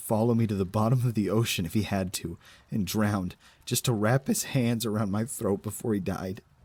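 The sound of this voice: Simply an unforced reading voice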